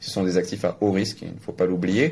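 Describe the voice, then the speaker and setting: A man is speaking. His pitch is very deep and low. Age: 20s. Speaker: crypto media founder and blockchain entrepreneur. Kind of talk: interview.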